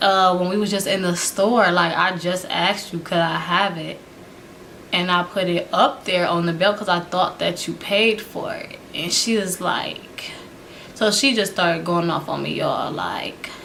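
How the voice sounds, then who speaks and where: Clear noise sits behind a woman talking at a medium tempo. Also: medium pitch for a woman. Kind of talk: casual storytime to camera. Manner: casual, animated, laughing.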